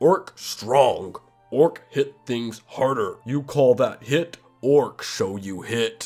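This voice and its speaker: Over faint music in the background, a nasal, put-on character voice at a low-to-middle pitch moves at a very slow pace. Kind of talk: broken, primitive speech. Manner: dumb, brutish.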